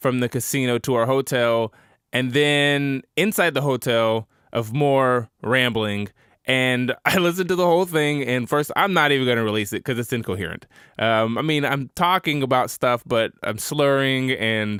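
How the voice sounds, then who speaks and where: At a moderate pace, a man with a plain, everyday voice speaks at a medium pitch, with ordinary pitch variation and very even loudness. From Oklahoma, Tulsa. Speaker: podcast host. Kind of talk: podcast narration.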